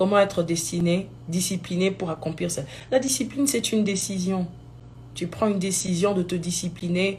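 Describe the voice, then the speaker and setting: Her medium-pitched voice is somewhat breathy, with big swings in loudness and ordinary pitch variation. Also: moderate pace. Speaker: gospel singer. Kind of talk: live video talk. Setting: live stream.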